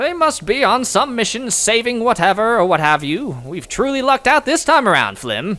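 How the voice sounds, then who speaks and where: A man puts on a character voice at an extremely high pitch. He talks at a moderate pace with hardly any pauses. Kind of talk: audio drama.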